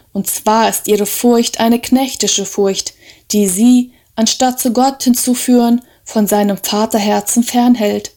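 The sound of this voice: This unforced reading voice holds a fairly even intonation.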